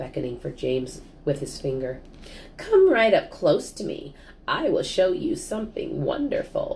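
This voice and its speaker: A creaky, put-on character voice goes at a moderate pace over clear background noise. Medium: read story. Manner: conspiratorial.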